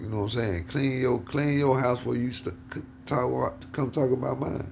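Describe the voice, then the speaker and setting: Over noticeable background noise, a man talks at a fairly quick pace, his medium pitch showing ordinary variation. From US South. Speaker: podcast host. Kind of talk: casual chat. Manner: animated.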